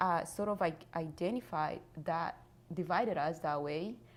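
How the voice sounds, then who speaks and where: In a Rwandan accent, a woman with a fairly low voice speaks at a fairly slow pace, with ordinary pitch variation. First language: Kinyarwanda. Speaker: genocide survivor and author. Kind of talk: interview testimony. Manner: halting.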